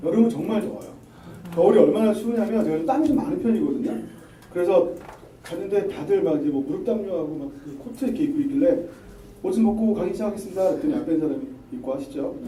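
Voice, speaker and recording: A man with a high pitch talks at a very fast pace, his pitch swinging very widely, yet with long, frequent pauses. Room echo is audible and background noise is noticeable. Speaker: lawyer giving a lecture. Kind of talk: lecture.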